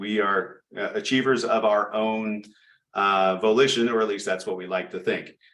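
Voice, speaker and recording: The pace is fairly quick. Audible room echo surrounds the voice. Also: man. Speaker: project management presenter. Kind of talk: presentation lecture. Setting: chapter meeting. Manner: fast.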